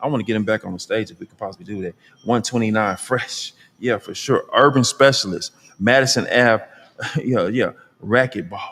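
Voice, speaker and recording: Animated in tone, a man with an American accent speaks at a medium pitch and a fairly quick pace, with ordinary pitch variation and big swings in loudness. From California. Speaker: talk show host. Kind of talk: live show with audience. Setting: stage with audience.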